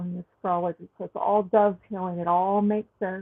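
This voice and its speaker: In a Southern US accent, a woman speaks at a medium pitch with monotone, flat intonation. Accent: southern drawl. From Texas. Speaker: astrologer and tarot reader. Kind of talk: astrology forecast monologue. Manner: slow; casual, frequent um fillers. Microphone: sound quality issues at new location.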